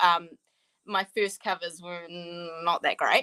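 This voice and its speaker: This woman has a New Zealand accent and a bright, sharp tone, heard on a very clean recording with a silent background. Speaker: author. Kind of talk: interview. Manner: casual, hesitant with many ums.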